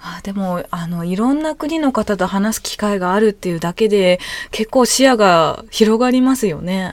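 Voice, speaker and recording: She speaks in an ordinary speaking voice, pitched at a medium level for a woman. Her pace is moderate and her intonation lively. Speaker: podcast interviewer. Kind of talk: interview.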